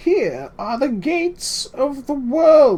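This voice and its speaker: In a put-on character voice, a man speaks at an extremely high pitch. His delivery is very slow. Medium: read story. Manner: rambling, excitable.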